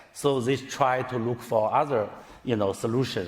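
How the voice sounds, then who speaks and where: With noticeable background noise present, the speaker keeps a fairly even intonation. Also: man. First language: Chinese. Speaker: tech executive. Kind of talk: conference talk. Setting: stage with audience. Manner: halting, many fillers.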